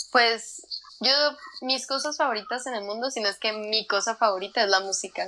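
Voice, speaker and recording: The woman speaks in an unremarkable speaking voice, fairly high in pitch, with ordinary pitch variation and moderate speed. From northern Mexico, Chihuahua. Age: 20s. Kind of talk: interview conversation.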